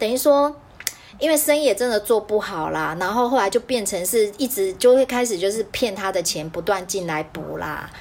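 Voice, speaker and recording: Noticeable background noise sits behind a woman's voice. She speaks at a moderate pace with medium pitch and lively intonation. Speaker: podcast host. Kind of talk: casual chat. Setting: video call.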